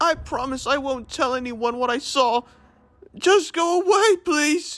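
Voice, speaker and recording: Pitched high, a put-on character voice unfolds at a fairly slow pace. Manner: pleading.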